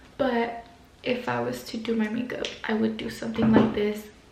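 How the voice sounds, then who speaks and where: A woman whispers, soft-spoken, at a moderate pace. Audible room echo and noticeable background noise surround her. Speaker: beauty vlogger. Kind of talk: makeup tutorial. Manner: soft-spoken, sounds like whispering; casual, hesitant.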